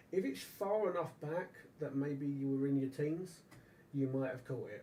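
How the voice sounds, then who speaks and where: Somewhat breathy, a man's fairly high voice carries a dark, mellow tone. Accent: British. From England. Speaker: live stream host and radio channel owner. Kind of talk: casual chat. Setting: live stream. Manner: animated.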